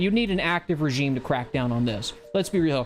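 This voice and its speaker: Speaking at a very fast pace, a man has a fairly high pitch. Noticeable background noise runs under his voice. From US South. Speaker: livestream host. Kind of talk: casual political commentary livestream. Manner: animated.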